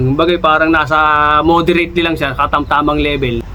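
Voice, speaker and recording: A man talks at a very fast pace, with audible echo from the room. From Philippines. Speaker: vlogger, overseas Filipino worker. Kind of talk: casual vlog tips. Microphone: no mic, mic battery died.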